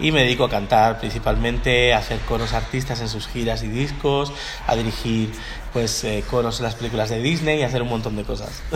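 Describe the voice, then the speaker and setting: A man at a fairly quick pace amid noticeable background noise and audible room echo. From Miami, Florida, US. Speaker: gospel choir director and singing teacher. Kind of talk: interview.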